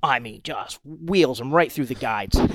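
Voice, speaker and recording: A man speaks at a moderate pace in an ordinary speaking voice with an American accent. His pitch variation is ordinary. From US Northeast, Rhode Island. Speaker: fishing boat captain. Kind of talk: casual chat.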